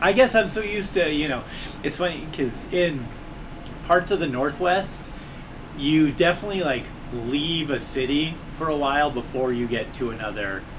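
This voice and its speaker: Pausing long and often, a man with an American accent talks at a moderate pace with lively intonation and a fairly high pitch, amid noticeable background noise and audible room echo. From Southern California (Long Beach / South Central LA). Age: 30s. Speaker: comedian and podcast host. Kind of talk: casual chat. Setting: apartment, in person.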